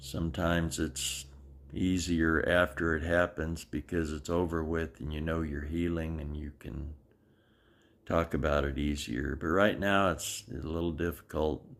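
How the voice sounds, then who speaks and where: A man with a very deep, low voice and vocal fry speaks at a fairly slow pace with fairly even intonation, on a very clean recording with a silent background. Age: 70s. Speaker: video blogger sharing medical journey. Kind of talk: personal video diary.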